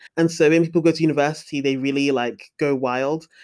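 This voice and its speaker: A woman's very deep, low voice with a London accent and fairly even intonation. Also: very clean recording, silent background. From London, England. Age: 20s. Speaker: young adult novelist. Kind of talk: casual chat.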